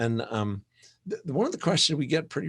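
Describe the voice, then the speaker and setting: A man's normal speaking voice at medium pitch, fairly quick and lively in intonation, dry and close with no echo, on a very clean recording with a silent background. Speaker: conference presenter, church fundraising consultant. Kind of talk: conference presentation.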